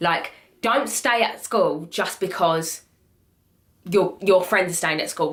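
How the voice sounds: Lively intonation marks a woman's speech at a moderate pace. Her tone is fairly bright.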